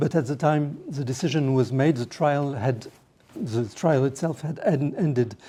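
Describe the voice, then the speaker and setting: A somewhat breathy man with a French accent, fairly high in pitch and dark, mellow in tone, ordinary pitch variation, moderate pace, on a very clean recording with a silent background. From France. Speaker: lawyer and trial observer. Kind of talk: panel talk. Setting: parliamentary meeting room. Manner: halting, searching for words.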